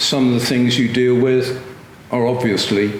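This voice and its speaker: A man speaks fairly slowly at a medium pitch with fairly even intonation. Noticeable background noise and audible room echo fill the recording. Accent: West Country. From Gloucester, western England. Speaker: retired police officer. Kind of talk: interview. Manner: halting.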